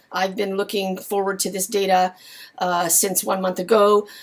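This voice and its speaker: A woman's ordinary speaking voice, medium in pitch, at a moderate pace. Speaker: lumber market publisher. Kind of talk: market commentary.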